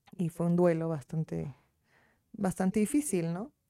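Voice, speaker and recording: In a dry, close sound with no echo, a woman speaks at a moderate pace and a fairly low pitch, her dark, mellow tone shifting with ordinary pitch variation. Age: 20s. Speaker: lawyer. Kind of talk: casual interview.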